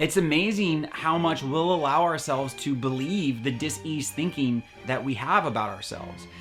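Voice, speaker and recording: With music in the background, a man with a fairly high pitch talks at a moderate pace, hardly any pauses and very wide pitch swings. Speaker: eating disorder recovery vlogger. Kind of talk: casual talk to camera. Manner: earnest, conversational.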